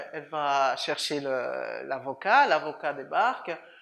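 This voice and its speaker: Speaking at a very slow pace, a woman talks with a Swiss French accent. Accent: fairly European (Swiss French). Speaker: lawyer. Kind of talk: interview. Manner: halting, many repetitions.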